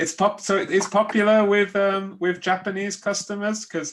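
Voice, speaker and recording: A man talks at a fairly slow pace. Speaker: English teacher interviewer. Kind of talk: interview questions.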